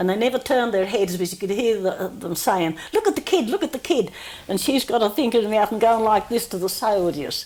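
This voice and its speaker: With an Australian accent, a woman speaks at a fairly quick pace in a fairly high voice. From New South Wales, Australia. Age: 80s+. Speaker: oral history interviewee. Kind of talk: oral history interview. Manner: halting.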